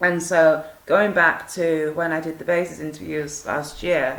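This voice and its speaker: Delivered at a fairly slow pace with fairly even intonation, the voice carries audible room echo. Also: woman. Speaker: survivor vlogger sharing experiences. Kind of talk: personal monologue to camera. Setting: home video at night. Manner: hesitant, many fillers.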